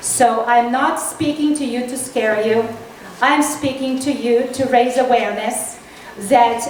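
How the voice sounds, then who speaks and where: With a Serbian accent, a woman speaks at a fairly slow pace in a high pitch with ordinary pitch variation, over noticeable background noise and audible room echo. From Serbia (former Yugoslavia). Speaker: political candidate. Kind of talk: political talk. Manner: halting.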